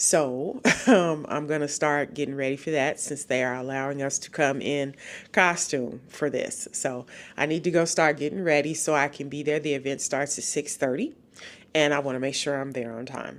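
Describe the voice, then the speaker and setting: Fairly even intonation at a moderate pace, on a very clean recording with a silent background. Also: woman, very deep, low pitch for a woman. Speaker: travel vlogger. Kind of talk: casual vlog narration. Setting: outdoors in rain. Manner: halting, many fillers.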